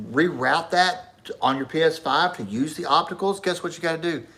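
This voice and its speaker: Speaking at a moderate pace, a man has a high voice and lively intonation. His tone is animated. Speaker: gaming streamer. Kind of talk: casual chat.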